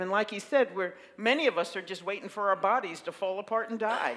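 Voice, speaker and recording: A woman talks in an ordinary speaking voice, at a medium pitch with ordinary pitch variation. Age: 60s. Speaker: minister. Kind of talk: sermon.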